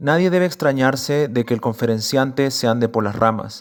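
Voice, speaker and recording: At a moderate pace, a man speaks. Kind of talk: literary essay reading.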